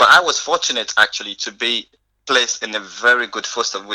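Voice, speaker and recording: A man talks at a very fast pace with a slight non-native accent. His tone is bright and sharp. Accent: barely noticeable foreign. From northern Nigeria. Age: 20s. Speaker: youth charity founder. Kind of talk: podcast interview. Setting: remote call. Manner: halting.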